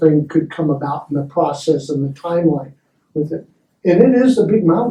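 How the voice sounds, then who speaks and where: A man with an American accent talks at a moderate pace. His voice is fairly high, with a dark, mellow tone. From Oregon. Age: 70s. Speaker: citizen advocate presenting at public meeting. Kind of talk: public meeting presentation. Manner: halting, with repeated words.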